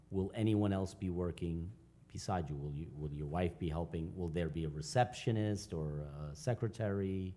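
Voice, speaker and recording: With a non-native accent, a man speaks at a moderate pace in a very deep, low pitch and dark, mellow tone, showing ordinary pitch variation. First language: not English. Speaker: village board official. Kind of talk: public hearing questioning. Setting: village board meeting.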